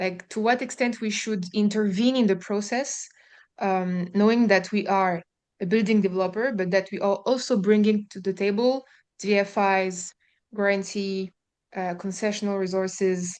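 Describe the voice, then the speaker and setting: Against a quiet background, a woman speaks with a strong French accent. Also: medium pitch for a woman, fairly even intonation, moderate pace. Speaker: housing developer, webinar participant. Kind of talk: question in a webinar. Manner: halting, many fillers.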